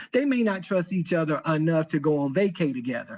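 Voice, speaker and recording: Against a quiet background, a man speaks at a moderate pace in an animated tone, his pitch swinging very widely. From US South, Thomasville, North Carolina. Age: 50s. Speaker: podcast host. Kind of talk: casual monologue.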